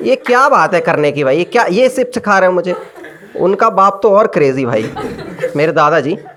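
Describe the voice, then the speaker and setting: Over noticeable background noise, a man with a high pitch makes very wide pitch swings. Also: moderate pace, very even loudness. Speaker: stand-up comedian. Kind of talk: stand-up comedy set. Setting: live comedy club.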